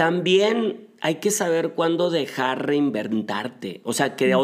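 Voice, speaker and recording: A man's voice at a fairly slow pace, with very wide pitch swings. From northern Mexico, Monterrey area. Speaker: marketing and PR consultant. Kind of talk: interview.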